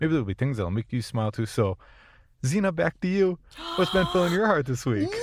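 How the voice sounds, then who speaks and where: A man in an American accent talks at a fairly quick pace. His fairly high voice swings very widely in pitch. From Minnesota. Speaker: horror podcast host. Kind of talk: casual chat.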